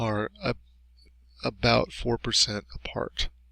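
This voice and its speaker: This is a man talking. His pitch sits in the medium range. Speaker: math teacher. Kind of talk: tutorial. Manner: halting.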